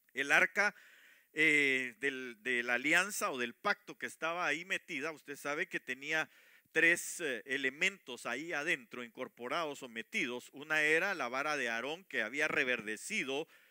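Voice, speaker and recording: Against a silent background in a very clean recording, a man talks at a fairly slow pace with a fairly high pitch, ordinary pitch variation and a bright, sharp tone. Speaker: preacher. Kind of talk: sermon. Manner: halting, many fillers.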